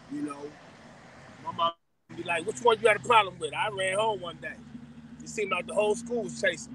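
With a raised, projected voice at a high pitch, a man speaks at a very fast pace with lively intonation, big swings in loudness and long, frequent pauses, the sound dry with no echo and light background noise. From Los Angeles, Watts; Los Angeles. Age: 50s. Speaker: former gang member; interview guest. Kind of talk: interview. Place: car. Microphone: phone near.

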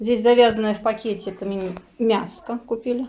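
Light background noise behind a woman talking at a moderate pace. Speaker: home vlogger. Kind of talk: casual vlog chat. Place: home room. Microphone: phone near.

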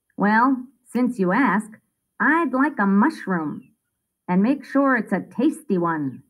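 Lively intonation in plain reading aloud, set against a quiet background.

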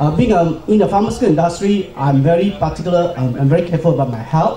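Audible room echo and light background noise surround a man speaking at a high pitch with ordinary pitch variation. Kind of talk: personal talk at forum.

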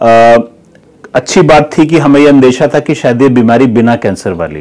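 The background stays quiet. A man talks, his pitch varying in the ordinary way. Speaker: neurosurgeon. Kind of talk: doctor explaining a case. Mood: calm, explanatory. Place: office. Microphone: lapel.

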